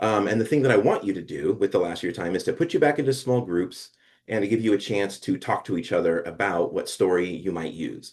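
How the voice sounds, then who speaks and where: A man with an American accent at a very fast pace, against a quiet background. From Oregon, US. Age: 50s. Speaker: professor. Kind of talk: lecture.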